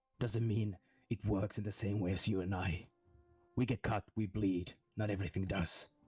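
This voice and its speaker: In a very clean recording with a silent background, a man puts on a character voice at a fairly low pitch, leaving long, frequent pauses. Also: moderate pace. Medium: actual play. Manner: measured, grave.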